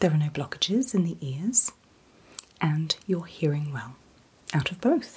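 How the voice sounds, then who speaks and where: Soft-spoken and somewhat breathy, a woman with a fairly low pitch talks at a fairly slow pace, with very wide pitch swings and big swings in loudness. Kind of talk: role-play clinical instructions. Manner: soft, close ASMR murmur. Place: home room.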